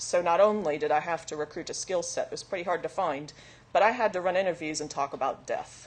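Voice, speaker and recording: A woman with a Southern US accent speaks at a fairly low pitch with ordinary pitch variation. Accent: American, Southern. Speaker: recruitment analyst, conference speaker. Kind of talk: conference talk.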